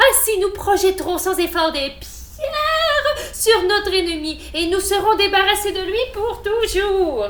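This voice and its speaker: A woman's put-on character voice at an extremely high pitch, fairly slow in pace, over clear background noise. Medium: read story. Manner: knowing, authoritative.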